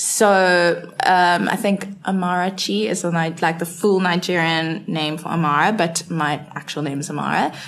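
With hardly any pauses, a woman talks at a fairly slow pace and with ordinary pitch variation over noticeable background noise. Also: fairly low pitch for a woman. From South Africa, Cape Town. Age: 20s. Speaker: marketing intern. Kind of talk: casual interview.

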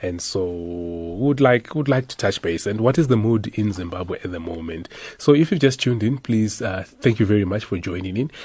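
Against a quiet background, a man with a fairly low, somewhat breathy voice speaks at a fairly quick pace with ordinary pitch variation. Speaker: radio host. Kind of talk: radio talk show.

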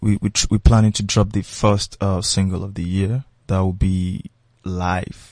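A man with a Nigerian accent speaks at a fairly slow pace and fairly low pitch, his intonation fairly even, in a dry, close sound with no echo over a quiet background. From Nigeria, Lagos. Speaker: musician. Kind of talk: casual interview chat.

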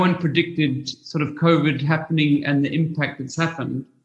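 A man speaks at a moderate pace in a somewhat breathy, fairly high voice. His intonation is monotone and flat. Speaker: podcast host. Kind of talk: interview.

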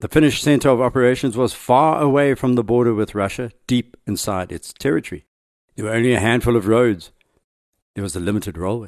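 In an unremarkable speaking voice, a man with a medium pitch talks at a fairly quick pace with ordinary pitch variation. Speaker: podcast host. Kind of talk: history documentary narration. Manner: measured, authoritative storytelling; formal, steady delivery.

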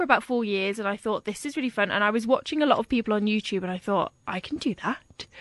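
At a fairly quick pace, a woman with a plain, everyday voice speaks with ordinary pitch variation, the sound dry and close with no echo. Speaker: blogger. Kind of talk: casual interview chat.

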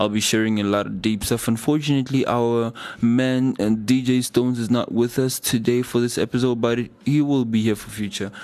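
A man at a medium pitch with monotone, flat intonation. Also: moderate pace. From Africa. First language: not English. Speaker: radio DJ and host. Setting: radio studio show. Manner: rambling, fillers like 'basically' and 'um'.

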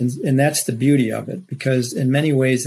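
A somewhat breathy voice over a quiet background. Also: man. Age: 60s. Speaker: rhinoplasty surgeon. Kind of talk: expert interview with slide presentation.

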